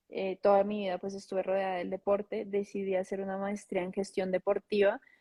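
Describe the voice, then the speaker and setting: A woman's medium-pitched, dark and mellow voice in a Bogotá accent, monotone and flat, with a dry, close sound and no echo. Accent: Bogotá Colombian Spanish. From Colombia, Bogotá. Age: 20s. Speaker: former tennis player, sports manager. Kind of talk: interview.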